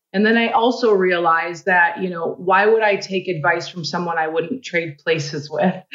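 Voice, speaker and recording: A woman with an American accent speaks at a moderate pace in a medium pitch, her intonation varying in an ordinary way, an ordinary speaking voice. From small town in Minnesota. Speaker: entrepreneur and keynote speaker. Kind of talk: interview.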